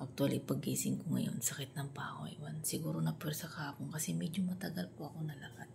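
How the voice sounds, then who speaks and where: A quiet woman talks at a very fast pace with hardly any pauses, and audible room echo surrounds her. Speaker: vlogger. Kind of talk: casual vlog talk. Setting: at home, early morning. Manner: quiet, hushed.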